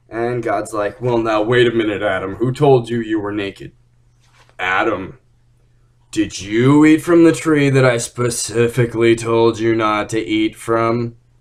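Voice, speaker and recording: Using a put-on character voice, a man talks at a moderate pace and medium pitch with ordinary pitch variation. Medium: solo performance. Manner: stammering, babbling.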